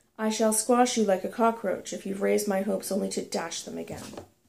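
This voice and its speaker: At a very fast pace, a woman does a raspy, put-on character voice at medium pitch. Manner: threatening, contemptuous.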